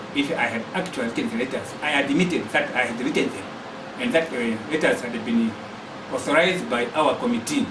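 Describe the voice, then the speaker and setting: In a Zambian accent, a man with fairly high pitch speaks at a fairly quick pace with lively intonation, amid audible room echo and noticeable background noise. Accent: Zambian (Lozi) English. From Barotseland, western Zambia. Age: 60s. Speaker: activist. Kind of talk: testimony.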